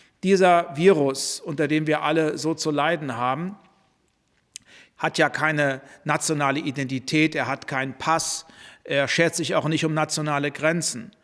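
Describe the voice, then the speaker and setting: This man has an unremarkable speaking voice pitched fairly high. He talks at a fairly slow pace with fairly even intonation. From Germany. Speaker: politician. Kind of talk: press statement. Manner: formal.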